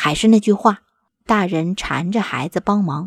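Speaking at a fairly slow pace, a woman with a medium-pitched, somewhat breathy voice uses ordinary pitch variation, captured in a very clean recording with a silent background and a dry, close sound with no echo. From Northeast China. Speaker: podcast host. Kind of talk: scripted narration.

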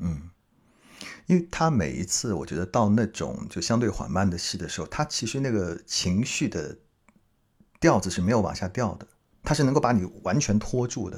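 Vocal fry runs through a voice with very wide pitch swings at a moderate pace, recorded very cleanly over a silent background. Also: man, fairly low pitch for a man. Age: middle-aged. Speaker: podcast host. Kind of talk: casual interview.

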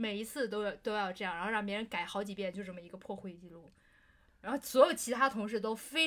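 Her pace is very fast and her intonation lively. The woman speaks at a medium pitch. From Beijing, China. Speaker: podcast co-host. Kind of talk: casual chat.

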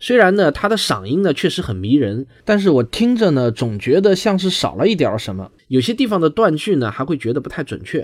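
In a southern Chinese accent, a man talks at a fairly quick pace with very wide pitch swings on a very clean recording with a silent background. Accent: southern Chinese accent in Mandarin. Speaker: science podcaster. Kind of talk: podcast discussion.

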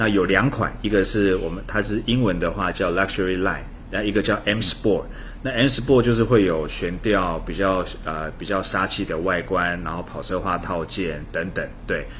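With audible room echo and noticeable background noise, a man speaks at a moderate pace in a fairly low pitch with ordinary pitch variation. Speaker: car reviewer. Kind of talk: casual interview chat.

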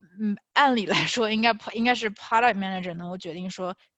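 This is a woman with an ordinary speaking voice at a medium pitch. She keeps a moderate pace with ordinary pitch variation. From China. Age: 20s. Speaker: finance and tech product manager. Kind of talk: interview Q&A.

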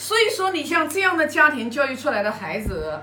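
A woman with a high pitch projects her raised voice at a moderate pace, swinging her pitch very widely, with audible room echo and noticeable background noise. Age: 50s. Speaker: Confucian classics study sharer. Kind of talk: lecture-style study sharing. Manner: hesitant, with fillers and repetitions.

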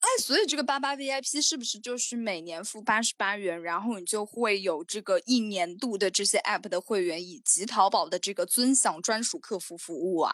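Speaking at a moderate pace with hardly any pauses, a woman uses an ordinary speaking voice at a medium pitch with lively intonation, the sound dry and close with no echo. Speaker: podcast co-host. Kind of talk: casual chat. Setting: video call. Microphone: slightly muffled audio.

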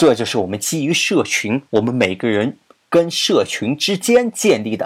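With an animated tone and very wide pitch swings, a man talks at a moderate pace in a fairly high pitch. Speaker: podcast host. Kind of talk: casual explanatory monologue.

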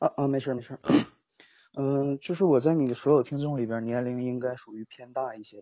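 Moving at a fairly quick pace, a man with a dark, mellow tone and fairly even intonation comes through with a dry, close sound and no echo, his loudness swinging widely. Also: medium pitch for a man. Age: 20s. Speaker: caller. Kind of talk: phone-in confession. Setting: voice call. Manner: halting. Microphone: phone mic.

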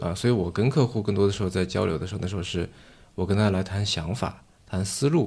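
A man with a fairly low pitch and a somewhat breathy voice talks at a very fast pace. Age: young. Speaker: venture capitalist and podcast host. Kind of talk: casual interview conversation. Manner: deadpan.

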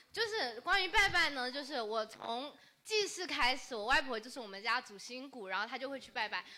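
Raising and projecting her high voice, a woman with a Fujian accent speaks at a fairly quick pace with very wide pitch swings and big shifts in loudness. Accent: regional Fujian. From Changle, Fujian. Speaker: audience member. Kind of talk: storytelling.

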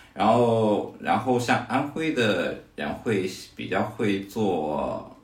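Audible room echo surrounds a man with a fairly low pitch. He speaks very slowly, with lively intonation. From Hefei, Anhui, China. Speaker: fitness coach. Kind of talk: casual chat.

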